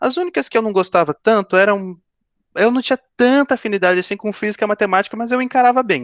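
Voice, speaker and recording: The sound is dry and close, with no echo. A man speaks in a high pitch with lively intonation. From Brazil, São Paulo state (São José dos Campos). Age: 20s. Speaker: aerospace engineering student, career talk speaker. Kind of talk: career talk to students via video call. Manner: halting, many fillers and repetitions.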